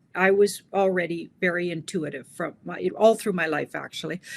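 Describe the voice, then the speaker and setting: A woman speaks with a Canadian accent at medium pitch and a moderate pace. Hers is an unremarkable speaking voice. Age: 60s. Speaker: tarot reader. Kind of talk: interview.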